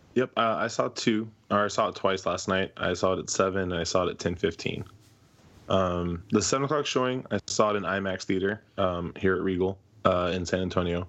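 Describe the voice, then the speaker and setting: A man's very deep, low voice at a fairly quick pace, with ordinary pitch variation and a quiet background. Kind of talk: casual chat. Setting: video call.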